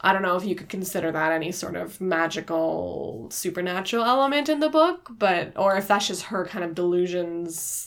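In a normal speaking voice, a woman of medium pitch talks at a moderate pace with lively intonation and hardly any pauses. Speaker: podcast co-host, book club. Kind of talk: casual book discussion.

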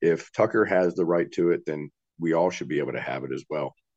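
A man's very deep, low voice with vocal fry, an Appalachian accent and ordinary pitch variation, recorded dry and close with no echo. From West Virginia. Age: 40s. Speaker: political defendant and activist. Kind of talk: interview.

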